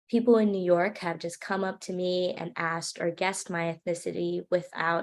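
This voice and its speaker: A woman with a Hawaiian accent, fairly low pitch, fairly even intonation and a moderate pace, in a very clean recording with a silent background. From Hawaii, Maui. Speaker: student filmmaker speaker. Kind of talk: presentation talk.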